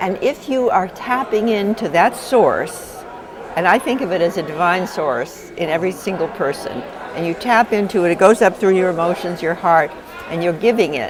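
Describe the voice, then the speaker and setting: A woman's voice with lively intonation, audible room echo and crowd noise behind. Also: medium pitch for a woman, moderate pace. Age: 80s+. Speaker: visionary and author. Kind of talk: interview.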